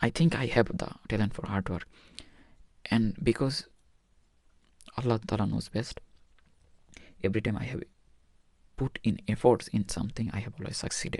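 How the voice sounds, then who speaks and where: This man talks at a moderate pace with a non-native accent, a medium pitch and ordinary pitch variation. His voice is somewhat breathy, and he leaves long, frequent pauses. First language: not English. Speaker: medical student vlogger. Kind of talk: personal vlog monologue. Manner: halting.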